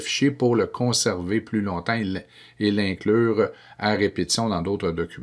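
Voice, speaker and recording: A man speaks in an ordinary speaking voice, fairly low-pitched with ordinary pitch variation, at a fairly slow pace against a quiet background. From Quebec. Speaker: educational technology trainer for teachers. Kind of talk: screencast tutorial.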